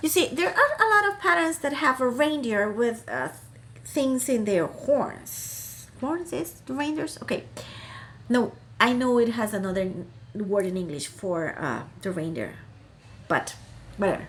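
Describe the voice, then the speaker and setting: A woman with a Costa Rican accent speaks with very wide pitch swings and long, frequent pauses. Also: fairly high pitch for a woman. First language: Spanish. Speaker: crafting YouTuber. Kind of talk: casual vlog chat. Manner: hesitant, many fillers and restarts.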